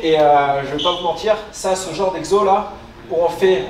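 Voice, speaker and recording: Echo from the room is audible. A man talks over light background noise. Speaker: fitness coach. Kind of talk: tutorial. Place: gym.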